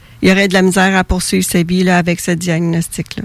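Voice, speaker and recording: A woman at a fairly low pitch and fairly quick pace, over noticeable background noise. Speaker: author of a book on twin bereavement. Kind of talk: radio interview.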